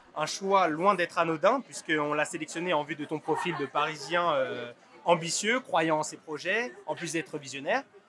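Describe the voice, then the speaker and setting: Energetic, fairly high-pitched male speech over noticeable background noise. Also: ordinary pitch variation, moderate pace. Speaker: student podcast host. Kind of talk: interview. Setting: rooftop.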